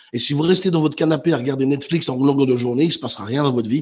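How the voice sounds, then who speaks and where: A man's fairly high voice, somewhat breathy, with lively intonation. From Belgium, Brussels. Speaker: motivational speaker and author. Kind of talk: interview.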